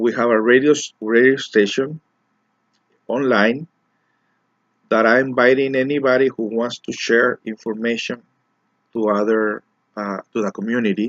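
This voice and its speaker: Spoken at a moderate pace in a Mexican accent, the voice keeps a fairly even intonation and breaks often into long pauses. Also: man, medium pitch for a man. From Mexico, raised in Los Angeles. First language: Spanish. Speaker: community organizer and self-help speaker. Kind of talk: personal monologue to camera. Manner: halting, with repetitions and fillers.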